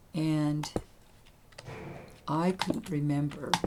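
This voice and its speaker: A woman speaks in a very deep, low voice over noticeable background noise. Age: 70s. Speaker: gaming YouTuber. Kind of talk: casual gameplay commentary and personal storytelling. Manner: halting.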